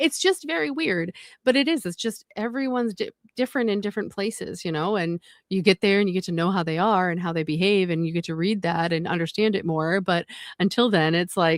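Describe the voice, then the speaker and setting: On a very clean, dry, close recording with no echo and a silent background, a woman with an American accent speaks fairly quickly at medium pitch with ordinary pitch variation. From New England. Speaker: livestream co-host. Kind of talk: casual chat. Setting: live stream.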